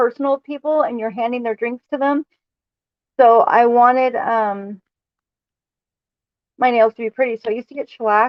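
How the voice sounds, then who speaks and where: With a high pitch and ordinary variation in it, a woman talks at a moderate pace. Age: 30s. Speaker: livestreamer. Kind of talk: casual chat.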